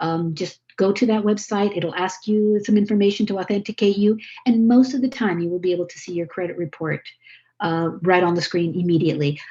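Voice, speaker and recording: Speaking at a fairly quick pace, a woman with a somewhat breathy, dark, mellow tone keeps a medium pitch with ordinary variation and big swings in loudness. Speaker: credit education presenter. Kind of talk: webinar presentation. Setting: video call. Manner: fast.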